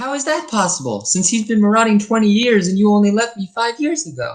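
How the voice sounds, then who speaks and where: A woman's put-on character voice, medium in pitch, with lively intonation at a very fast pace. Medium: short film.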